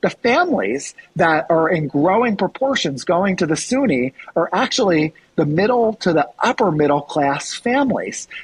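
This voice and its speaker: A man speaks in a high voice with very wide pitch swings and very even loudness, the sound dry and close with no echo. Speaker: college enrollment and athletics vice president. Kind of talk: podcast interview. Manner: fast.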